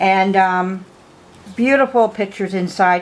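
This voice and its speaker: Medium pitch for a woman, with ordinary variation in her voice. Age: 50s. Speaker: doll collector and restorer vlogger. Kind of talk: casual show-and-tell vlog. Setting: home, late at night. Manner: chatty, hesitant with fillers.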